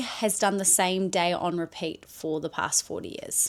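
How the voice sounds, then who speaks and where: A woman with a New Zealand accent speaks at a fairly slow pace in a very clean recording with a silent background. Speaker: content creator. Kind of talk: personal vlog monologue. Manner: casual, rambling with fillers.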